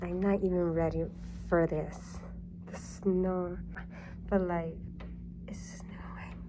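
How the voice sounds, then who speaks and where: Speaking very slowly with long, frequent pauses, a woman swings widely in loudness while audible room echo surrounds her voice. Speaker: vlogger. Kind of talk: casual vlog talk. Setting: outdoors in snowstorm. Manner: casual, rambling filler words.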